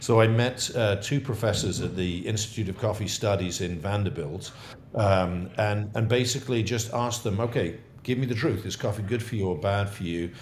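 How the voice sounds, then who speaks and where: In an English accent, a man with a fairly low, somewhat breathy voice speaks at a moderate pace with ordinary pitch variation, and the room echo is audible. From England. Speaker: coffee company founder. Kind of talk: interview. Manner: halting.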